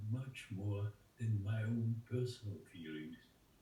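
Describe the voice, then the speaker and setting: A somewhat breathy voice with a dark, mellow tone. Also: man. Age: 90s. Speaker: Holocaust survivor and artist. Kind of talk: interview answer. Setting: video call. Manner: slow, reflective, emotional.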